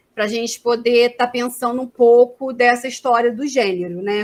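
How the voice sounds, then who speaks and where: Speaking at a fairly slow pace, this woman has a high voice and ordinary pitch variation. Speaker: social work professor. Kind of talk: academic lecture. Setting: video call.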